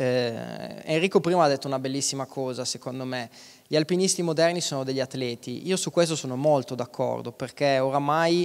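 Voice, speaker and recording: This man's speech moves at a fairly quick pace, and his pitch varies in an ordinary way. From Aosta Valley, Italy (Valtournenche); Aosta Valley, Italy. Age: 30s. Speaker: mountain guide and alpinist; mountain guide. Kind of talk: talk on stage. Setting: stage with audience. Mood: relaxed, smiling. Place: stage. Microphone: handheld.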